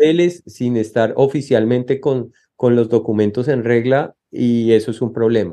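With a dark, mellow tone, a man speaks at a fairly slow pace with hardly any pauses. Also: medium pitch for a man, ordinary pitch variation. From Colombia. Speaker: asylum seeker. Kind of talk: interview. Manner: halting.

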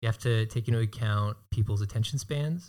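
Pitch moves in an ordinary way in this somewhat breathy voice. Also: man. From Hawaii. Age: 20s. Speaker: videographer and business owner. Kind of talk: casual interview.

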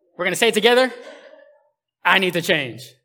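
A man talks at a fairly quick pace in a high, animated voice. He raises and projects it, with ordinary pitch variation. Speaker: pastor. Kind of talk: sermon. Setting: church with live congregation. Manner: animated, casual, humorous.

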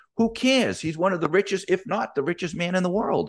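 A man's animated voice with vocal fry. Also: quiet background. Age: 50s. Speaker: business coach podcast host. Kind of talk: motivational solo podcast monologue.

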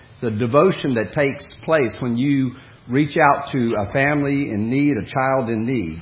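Audible room echo surrounds this voice, which moves at a moderate pace with ordinary pitch variation. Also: man, medium pitch for a man. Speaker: preacher. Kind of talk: sermon.

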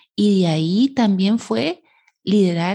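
A woman's voice comes through somewhat breathy. Her tone is dark and mellow. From Costa Rica. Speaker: psychologist and leadership coach, podcast co-host. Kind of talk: casual chat. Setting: studio recording, 7am on a Saturday.

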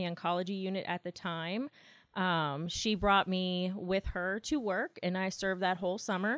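This is a normal speaking voice with an American accent. It moves at a moderate pace with fairly even intonation. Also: woman. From West Virginia, Martinsburg (Eastern Panhandle). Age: 30s. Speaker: nurse manager. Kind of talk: interview conversation. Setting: hospital office.

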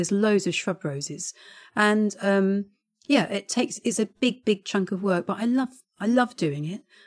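On a very clean recording with a silent background, a woman at medium pitch talks at a moderate pace in an unremarkable speaking voice. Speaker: head gardener and podcast co-host. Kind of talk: casual chat.

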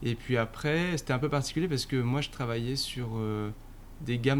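The man speaks with medium pitch and ordinary pitch variation. His pace is moderate. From Paris suburbs, France. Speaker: marketing director. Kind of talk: interview. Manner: hesitant, many fillers.

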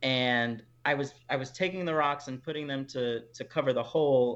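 This man speaks at a moderate pace, his medium pitch showing ordinary variation. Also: quiet background. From Texas, Houston. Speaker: podcast host. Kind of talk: interview.

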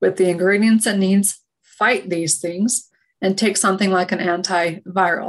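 This woman has a plain, everyday voice with an American accent, speaking at a fairly slow pace with medium pitch and fairly even intonation. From Utah. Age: 30s. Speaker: functional medicine practitioner. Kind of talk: interview.

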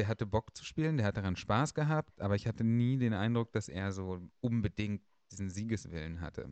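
A man with an ordinary speaking voice talks at a fairly quick pace, his pitch fairly low and his intonation lively. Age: 30s. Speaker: podcast host. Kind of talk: casual chat.

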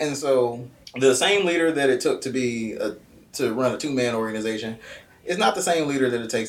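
A man talks at a very fast pace with an American accent. His pitch varies in an ordinary way, and room echo is audible. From Kansas City, Missouri (US Midwest). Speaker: nonprofit founder and army veteran. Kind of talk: interview.

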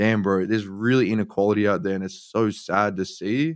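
Recorded very cleanly against a silent background, a man with a fairly low pitch speaks at a moderate pace with ordinary pitch variation. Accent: Australian. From Australia, Sydney. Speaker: artist. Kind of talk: interview.

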